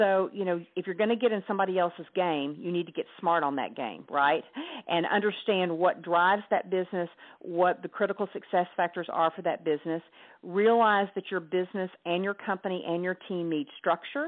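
A woman with a Southern US accent talks at a fairly quick pace. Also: medium pitch for a woman, ordinary pitch variation. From US South, Hot Springs, Arkansas. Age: 50s. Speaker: author and entrepreneur. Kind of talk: interview.

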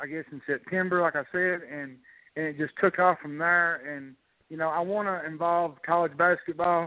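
Fairly even intonation alongside big swings in loudness. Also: man, high pitch for a man, moderate pace. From Kentucky, small town. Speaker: social media sports commentator. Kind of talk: sports talk show.

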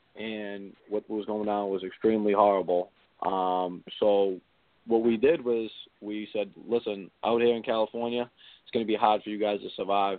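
This man talks at a moderate pace in a fairly low pitch, flat and monotone, while his loudness swings widely. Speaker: reality TV contestant. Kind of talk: casual chat.

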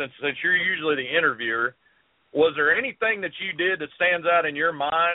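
A man with a Southern US accent talks at a fairly quick pace in a high pitch. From South Carolina. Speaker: fishing TV show host. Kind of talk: casual interview chat.

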